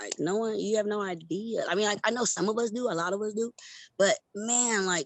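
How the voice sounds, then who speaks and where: A woman at a fairly high pitch, with ordinary pitch variation and a fairly quick pace. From US West Coast. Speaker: former theme park performer, youth leadership coach. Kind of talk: interview testimony.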